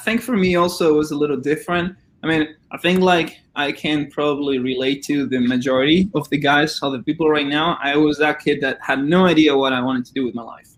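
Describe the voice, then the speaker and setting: Speaking with a Spanish accent, a man moves at a fairly quick pace, his fairly high voice showing ordinary pitch variation. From Argentina. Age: 20s. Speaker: former college swimmer and Olympian. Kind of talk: interview.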